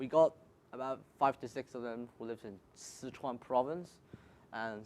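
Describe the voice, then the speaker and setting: This man speaks with a Cantonese accent at a moderate pace. His pitch is medium. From Hong Kong. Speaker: student. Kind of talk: panel discussion.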